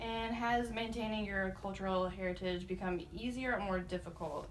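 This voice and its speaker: A woman's medium-pitched voice at a moderate pace, fairly even in intonation, with audible room echo and noticeable background noise. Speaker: student interviewer. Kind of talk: interview.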